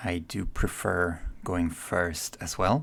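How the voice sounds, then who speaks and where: Soft-spoken, a man with a very deep, low pitch comes through on a very clean recording with a silent background. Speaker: card game content creator. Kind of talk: gameplay commentary. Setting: at home.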